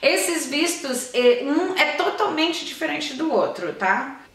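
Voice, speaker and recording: Raised and projected, a woman's animated voice moves fairly slowly with lively intonation amid audible room echo. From Brazil. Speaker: YouTuber. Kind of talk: vlog tutorial. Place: home room.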